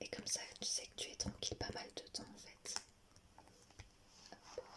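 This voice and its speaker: A woman whispers at a fairly slow pace. Her loudness swings widely, with noticeable background noise. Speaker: drawing tutorial creator. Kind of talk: ASMR drawing tutorial. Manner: whispered; slow, calm.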